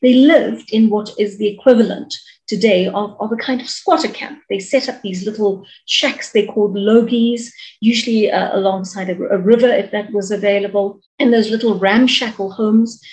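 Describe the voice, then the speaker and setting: A woman speaks at a fairly high pitch and a moderate pace. Her voice is somewhat breathy, with fairly even intonation. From South Africa, Durban (Chatsworth); South Africa. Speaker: author and media personality. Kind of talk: interview; interview answer. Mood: engaged, thoughtful. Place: home room. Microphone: video call.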